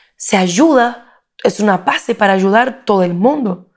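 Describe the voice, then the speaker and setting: In a Portuguese accent, a woman talks at a medium pitch. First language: Portuguese (speaking Spanish). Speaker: political consultant and speaker. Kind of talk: interview. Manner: halting.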